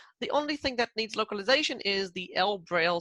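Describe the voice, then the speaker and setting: With an Israeli accent, a woman speaks at a fairly quick pace in a medium pitch with very wide swings. Her tone is bright and sharp, and the sound is dry and close with no echo. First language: Hebrew. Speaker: product manager. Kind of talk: product presentation.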